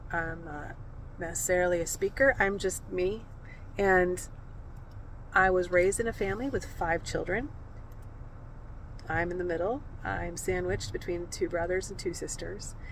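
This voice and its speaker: Speaking with an American accent at a moderate pace, a woman uses a medium pitch and ordinary pitch variation, leaving long, frequent pauses, with audible room echo around her. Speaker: video creator sharing her life story. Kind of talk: personal storytelling. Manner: soft-spoken; halting, with fillers.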